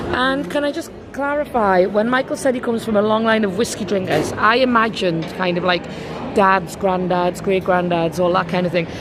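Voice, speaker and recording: A woman speaks at a fairly quick pace. Music plays in the background, and there is audible room echo. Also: medium pitch for a woman, lively intonation. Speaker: travel vlogger. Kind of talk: casual chat.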